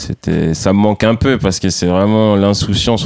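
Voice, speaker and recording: Recorded dry and close with no echo, a man with a dark, mellow tone talks at a moderate pace. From France, Saint-Denis (Paris suburbs), Antillean family. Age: 30s. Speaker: professional skateboarder. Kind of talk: casual interview.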